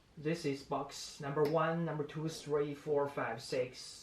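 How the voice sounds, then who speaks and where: A man with a non-native accent speaks at a moderate pace, with audible room echo and noticeable background noise. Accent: non-native English speaker. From China. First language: Chinese. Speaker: vlogger. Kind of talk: casual vlog talk to camera. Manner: halting, many fillers.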